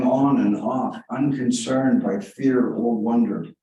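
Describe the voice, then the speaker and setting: With an American accent and ordinary pitch variation, the voice carries audible room echo. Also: man. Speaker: author. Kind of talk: reading aloud; casual chat. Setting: library reading room with audience. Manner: halting.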